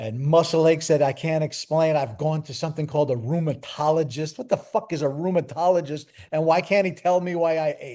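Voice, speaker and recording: Against a quiet background, a man with a fairly high pitch and a dark, mellow tone talks at a fairly quick pace with hardly any pauses, ordinary pitch variation and big swings in loudness. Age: 60s. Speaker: author and tour manager. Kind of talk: casual chat.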